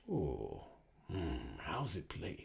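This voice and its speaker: A man growls his lines in a put-on character voice. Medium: read story.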